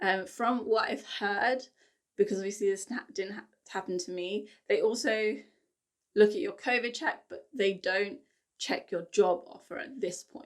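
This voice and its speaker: With a British accent, a woman at medium pitch talks at a moderate pace, her pitch varying in an ordinary way and her loudness swinging widely. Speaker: travel vlogger. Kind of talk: casual vlog explanation. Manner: chatty, fillers and restarts.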